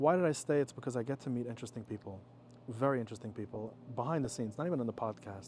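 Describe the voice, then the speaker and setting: Speaking very fast, this man keeps a medium pitch that varies in an ordinary way. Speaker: podcast guest, former podcast co-host. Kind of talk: casual chat. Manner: talkative, bursting to speak.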